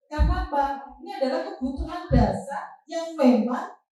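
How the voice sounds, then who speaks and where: In a room with audible echo, a woman with an East Javanese accent speaks very slowly at a high pitch with ordinary pitch variation. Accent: Lamongan Javanese. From East Java, Lamongan. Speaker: teacher. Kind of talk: staff training presentation.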